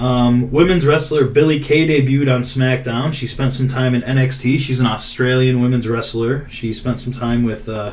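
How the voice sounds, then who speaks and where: Background noise is noticeable behind a man. Room echo is audible too. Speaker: podcast host. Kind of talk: casual chat. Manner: stuttering today.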